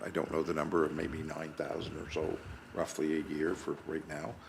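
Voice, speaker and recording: A man talks at a moderate pace. There is audible room echo. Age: 60s. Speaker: municipal councillor. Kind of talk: council meeting discussion.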